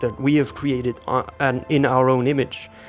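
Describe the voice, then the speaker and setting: A shaky male voice at a medium pitch, with music in the background. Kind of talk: improvised commentary while walking. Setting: outdoors. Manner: somewhat shaky.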